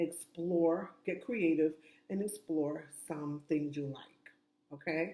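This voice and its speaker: A woman with an American accent, fairly low pitch, dark, mellow tone, fairly even intonation and a very slow pace. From New York. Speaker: self-help vlogger. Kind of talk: casual advice monologue. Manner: loud.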